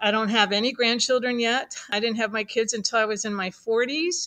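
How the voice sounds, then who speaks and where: Speaking at a moderate pace, a woman has a plain, everyday voice with a fairly high pitch. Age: 60s. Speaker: doula and childbirth educator. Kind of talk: casual chat.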